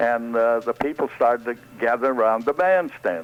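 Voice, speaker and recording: Someone with an American accent talks at a moderate pace in a plain, everyday voice. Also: man. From American South. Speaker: band leader, comedian, voice actor. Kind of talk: radio interview answer.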